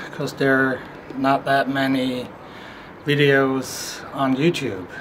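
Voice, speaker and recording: Noticeable background noise surrounds a man speaking at a fairly slow pace. His pitch is fairly high. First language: not English. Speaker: camera reviewer. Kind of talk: tutorial. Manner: halting.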